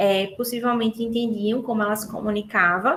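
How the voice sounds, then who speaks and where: A woman's fairly high voice, ordinary pitch variation, a fairly slow pace. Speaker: speech therapist. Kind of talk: lecture. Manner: animated.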